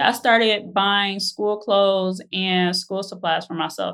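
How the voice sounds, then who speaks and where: An ordinary speaking voice, fairly slow pace and fairly even intonation. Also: woman. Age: 30s. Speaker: real estate agent sharing her money story. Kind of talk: personal testimony interview.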